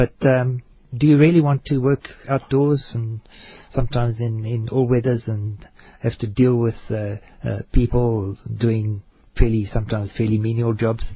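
This man's voice sits in a middle register, a little breathy, and his intonation stays fairly level. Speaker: infrastructure researcher. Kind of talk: radio interview.

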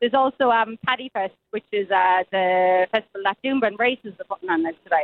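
This woman talks at a moderate pace. Her pitch is medium, with ordinary variation. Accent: Irish. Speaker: event correspondent. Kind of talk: live cross. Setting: phone call from outdoors.

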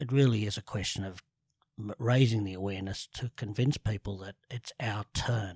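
A man with an Australian accent speaks at a moderate pace in a fairly low, somewhat breathy voice, his intonation fairly even and the sound dry and close with no echo. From Sydney, Australia (eastern suburbs). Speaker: cancer awareness advocate. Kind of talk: interview.

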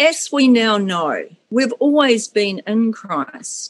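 Pitched fairly high, a woman talks with lively intonation. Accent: New Zealand. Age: 50s. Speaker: school cleaner, podcast guest. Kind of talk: testimony. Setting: video call.

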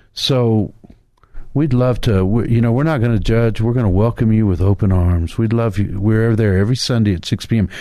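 This man has a dark, mellow tone and a medium pitch with ordinary pitch variation. He talks at a fairly quick pace with very even loudness. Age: 60s. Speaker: pastor. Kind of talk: radio sermon.

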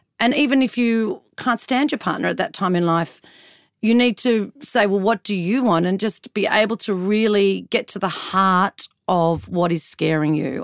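A woman speaks at a moderate pace with an Australian accent. Her pitch is medium, and the sound is dry and close with no echo. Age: 40s. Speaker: journalist and TV and radio personality. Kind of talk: casual chat. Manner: animated.

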